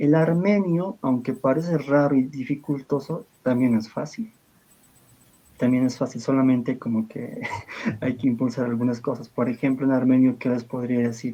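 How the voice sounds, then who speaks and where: Speaking with an Andean accent, a man talks at a moderate pace with a medium pitch. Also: ordinary pitch variation. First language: Aymara (speaking Spanish). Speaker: liturgical language expert. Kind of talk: interview.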